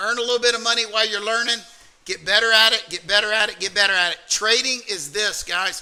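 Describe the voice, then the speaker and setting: Over noticeable background noise, a man talks at a very fast pace in a raised, projected voice, high in pitch with fairly even intonation. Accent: American. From US South, Alabama. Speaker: trading mentor. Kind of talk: motivational workshop talk.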